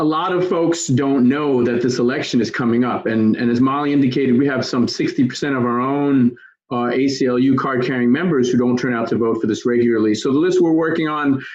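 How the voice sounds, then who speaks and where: With audible room echo, a man talks with hardly any pauses and ordinary pitch variation. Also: medium pitch for a man, fairly quick pace. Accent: New York. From New York. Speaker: advocacy organizer. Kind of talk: training session. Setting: video call. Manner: fast-paced.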